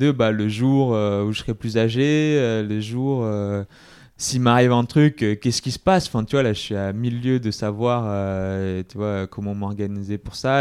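A man talks at a moderate pace with medium pitch and an ordinary speaking voice against a quiet background. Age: 30s. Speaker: entrepreneur. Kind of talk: casual chat. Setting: office premises in Paris.

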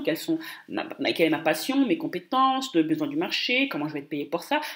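Her fairly high voice moves at a fairly quick pace, animated in tone and full of very wide pitch swings. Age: 20s. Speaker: business coach. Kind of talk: solo podcast monologue. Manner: hesitant, frequent repetitions.

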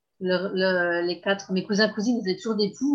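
Somewhat breathy, a woman speaks at a medium pitch and a fairly quick pace, her intonation fairly even. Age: 30s. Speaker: abuse survivor sharing her story. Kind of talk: testimony. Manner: halting.

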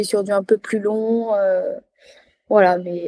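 A woman's fairly high-pitched voice with a dark, mellow tone and monotone, flat intonation, dry and close with no echo on a very clean recording with a silent background. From France, Loire (Auvergne-Rhône-Alpes). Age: 20s. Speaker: adapted physical activity teacher and trail runner. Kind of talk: interview testimony.

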